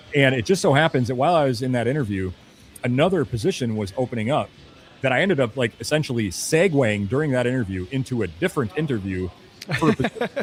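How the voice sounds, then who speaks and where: Over music in the background, a man with a medium pitch talks at a very fast pace with lively intonation. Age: 40s. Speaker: cigar accessory company sales rep. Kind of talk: casual podcast chat. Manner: rambling with many fillers.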